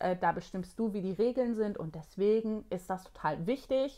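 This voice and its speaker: This woman's fairly high voice rises and falls with lively intonation. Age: 40s. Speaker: productivity coach and online course creator. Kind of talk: vlog-style tutorial.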